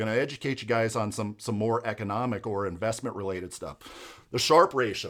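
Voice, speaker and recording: An unremarkable speaking voice from a man, medium in pitch with ordinary pitch variation. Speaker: financial advisor. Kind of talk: educational explainer video.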